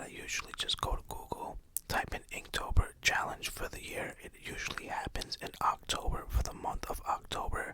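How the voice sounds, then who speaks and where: Someone is whispering at a moderate pace, with noticeable background noise behind. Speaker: ASMR creator, parent. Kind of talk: ASMR whispered ramble. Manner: whispered.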